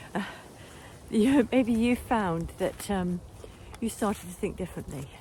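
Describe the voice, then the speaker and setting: A woman's dark, mellow voice with vocal fry, lively intonation, big swings in loudness and a fairly slow pace. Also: medium pitch for a woman. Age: 60s. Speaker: nutritional therapist. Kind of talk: casual vlog monologue. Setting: outdoors, walking.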